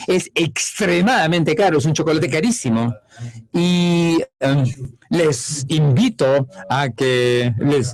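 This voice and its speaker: A man with a French accent speaks at a very slow pace and fairly high pitch. His intonation is lively while his loudness stays very even. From France. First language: French (speaking Spanish). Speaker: economist at international commodity organization. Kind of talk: conference lecture. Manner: hesitant, many fillers.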